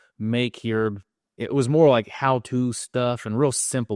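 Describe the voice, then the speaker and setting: A man's medium-pitched voice, an ordinary speaking voice, recorded dry and close with no echo. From Texas, Mesquite (Dallas suburb). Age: 30s. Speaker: real estate investor. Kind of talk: podcast interview.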